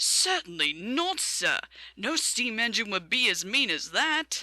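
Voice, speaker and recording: A put-on character voice sits at a fairly high pitch with very wide pitch swings. The delivery moves at a fairly slow pace. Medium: read story. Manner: polite, dry.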